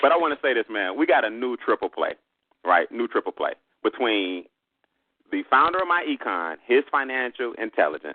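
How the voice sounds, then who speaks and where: In a Southern US accent, a man talks at a moderate pace in an animated tone. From US South. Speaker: business trainer. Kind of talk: sales pitch.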